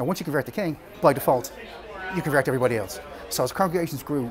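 With an Irish accent, a man talks at a very fast pace and fairly high pitch with lively intonation and long, frequent pauses, over noticeable background noise. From Ireland. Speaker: storyteller. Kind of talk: informal history talk. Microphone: phone near.

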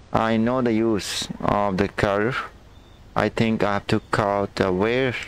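With a dry sound and no echo, a man speaks at a very slow pace, his fairly low pitch held in a monotone, flat intonation. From India. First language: Hindi. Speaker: gaming streamer. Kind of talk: live game commentary. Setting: live stream. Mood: tense, puzzled. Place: home room.

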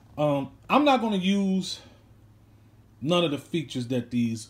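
This voice is somewhat breathy. It belongs to a man. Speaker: watch owner reviewing his watch. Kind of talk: casual vlog chat. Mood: relaxed, pleased. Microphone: phone near.

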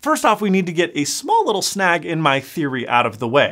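A man keeps a moderate pace, and the background is quiet. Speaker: tech channel host. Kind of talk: commentary. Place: studio.

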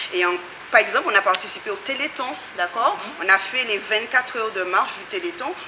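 Amid noticeable background noise, a woman talks at a fairly quick pace with big swings in loudness and ordinary pitch variation. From Guadeloupe. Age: 40s. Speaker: community association member. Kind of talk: interview. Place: hall.

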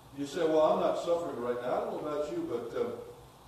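A man talking at a fairly quick pace, with strong room echo and light background noise. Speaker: pastor. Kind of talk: sermon. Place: church.

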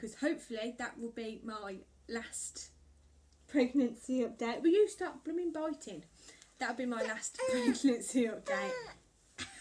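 With an English accent, a high-pitched woman speaks with lively intonation and big swings in loudness. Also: fairly slow pace. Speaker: vlogger. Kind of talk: casual chat. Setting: at home. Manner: rambling with fillers.

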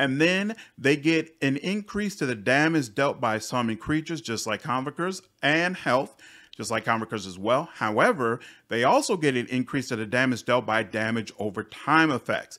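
On a very clean recording with a silent background, a man speaks at a moderate pace in a bright, sharp, upbeat tone with lively intonation. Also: medium pitch for a man. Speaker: gaming youtuber. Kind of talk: video game review.

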